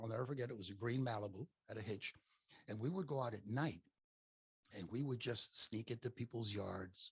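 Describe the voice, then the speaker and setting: A man with an American accent talks at a fairly quick pace in a somewhat breathy voice of medium pitch. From Miami, Florida, US. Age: 70s. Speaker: podcaster, former business owner. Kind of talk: casual interview chat. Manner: animated storytelling.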